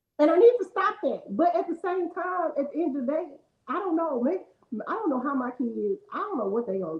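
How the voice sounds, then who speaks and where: A woman speaks loudly at an extremely high pitch, her voice swinging very widely in pitch. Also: fairly quick pace. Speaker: podcast co-host. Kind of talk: casual chat.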